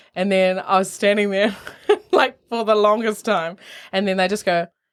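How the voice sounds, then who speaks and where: A woman with a New Zealand accent, medium pitch and a moderate pace. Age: 20s. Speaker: opera singer. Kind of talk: casual chat. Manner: animated.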